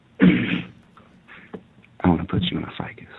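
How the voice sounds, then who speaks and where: A man's breathy, whispering put-on character voice at a fairly slow pace. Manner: soft, slow.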